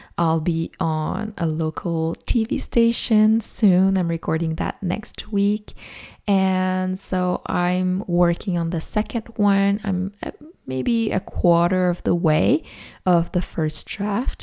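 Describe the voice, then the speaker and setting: With a Quebec accent and a dark, mellow tone, a woman speaks at a very slow pace on a very clean recording with a silent background. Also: medium pitch for a woman, ordinary pitch variation. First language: French. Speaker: podcast host, self-published author. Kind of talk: casual solo podcast monologue.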